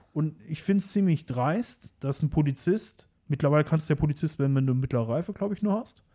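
Talking at a very fast pace, a man has a fairly high pitch and a dark, mellow tone. His voice is somewhat breathy, with lively intonation. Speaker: car tuning YouTuber. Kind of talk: casual interview chat.

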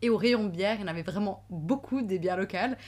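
A woman speaks in a normal speaking voice. Her medium pitch shows ordinary pitch variation. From Switzerland, Valais (Sion). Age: 30s. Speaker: lawyer and traveler. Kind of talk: casual chat.

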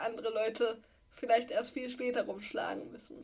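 Vocal fry runs through a woman's fairly high voice as she speaks at a moderate pace. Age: 20s. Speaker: podcast co-host, wheelchair user and columnist. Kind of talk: casual chat. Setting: video call.

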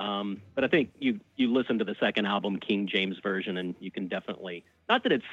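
A man with an American accent and a fairly low pitch speaks at a moderate pace with ordinary pitch variation, in an ordinary speaking voice. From US South, Birmingham, Alabama. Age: 40s. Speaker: radio host and record label founder. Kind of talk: casual interview chat. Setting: radio studio.

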